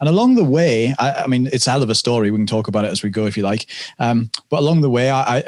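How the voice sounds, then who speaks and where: Here is a man with a British accent. His pitch is medium, with ordinary pitch variation. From UK. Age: 30s. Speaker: stage hypnotist and coach. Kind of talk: podcast interview.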